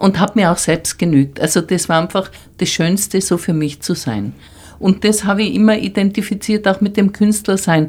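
Speaking at a moderate pace, a woman has a normal speaking voice with medium pitch and ordinary pitch variation. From Tyrol, Austria. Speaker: artist. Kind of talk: interview.

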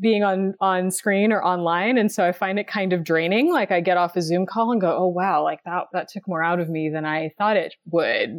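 A woman with an American accent and a plain, everyday voice speaks at a moderate pace and medium pitch, with fairly even intonation and hardly any pauses. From West Texas. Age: 30s. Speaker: writer and runner. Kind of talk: casual interview.

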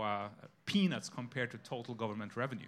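Bright and sharp in tone, a man's voice proceeds at a moderate pace. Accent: Norwegian. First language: Norwegian. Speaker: economics professor. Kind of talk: panel discussion. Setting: stage with audience.

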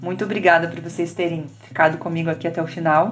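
A woman with a fairly low voice speaks at a moderate pace amid noticeable background noise and audible room echo. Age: 50s. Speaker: podcast host, personal development coach. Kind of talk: solo monologue podcast.

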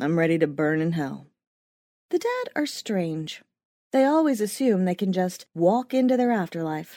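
A woman's dark, mellow, dramatic delivery at medium pitch, with very wide pitch swings and a moderate pace. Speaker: audiobook narrator. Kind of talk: audiobook dramatic narration. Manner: dramatic, wry first-person storytelling with darkly sardonic tone; measured, suspenseful pacing that builds to the crash.

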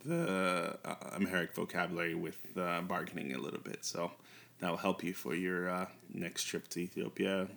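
A man's very deep, low voice with an American accent at a moderate pace. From US, New York. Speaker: language podcast host. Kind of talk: language lesson.

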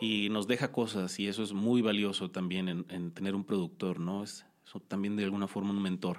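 The speech runs on with hardly any pauses in a monotone, flat intonation. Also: man, fairly low pitch for a man, moderate pace. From Mexico, Culiacán, Sinaloa. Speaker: musician. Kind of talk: casual chat.

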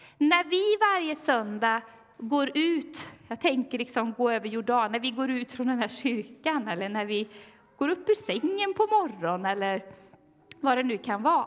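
Over noticeable background noise, a woman speaks fairly slowly at a high pitch with very wide pitch swings. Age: 40s. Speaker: pastor. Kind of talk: sermon.

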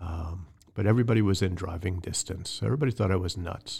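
A man speaks with an American accent in a somewhat breathy voice. The recording is very clean, with a silent background. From New York, near the Bronx. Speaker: church elder candidate. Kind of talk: interview testimony.

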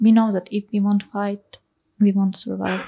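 A dark, mellow, somewhat breathy voice with a Ukrainian accent at a fairly slow pace, in a dry, close recording with no echo. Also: woman. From Ukraine. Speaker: musician. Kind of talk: interview.

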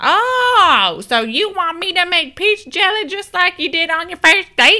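A female-sounding put-on character voice speaks at a fairly slow pace. Its pitch is extremely high. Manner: put-on imitation.

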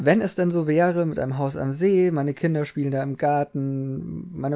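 At a moderate pace, a man speaks in a fairly high pitch, a plain, everyday voice with ordinary pitch variation. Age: 20s. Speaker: podcast co-host. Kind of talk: casual chat.

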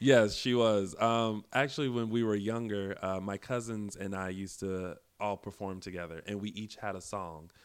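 A man with an American accent talks at a moderate pace, with hardly any pauses, a fairly low pitch and fairly even intonation. It is a plain, everyday voice. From South Carolina. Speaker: actor and web talk show host. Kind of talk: casual interview.

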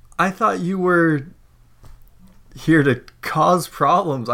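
A man's put-on character voice, high-pitched and cackling, at a very slow pace with ordinary pitch variation. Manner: laughing, cackling, incredulous.

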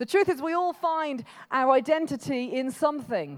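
This woman speaks at a moderate pace with lively intonation. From England, Birmingham. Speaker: pastor. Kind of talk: sermon. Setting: church. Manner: casual, conversational preaching.

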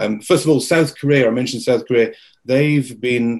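A man speaks at a fairly quick pace with an English accent. His pitch is medium, with ordinary variation. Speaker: industry media company owner. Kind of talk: webinar presentation. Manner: halting, many filler words.

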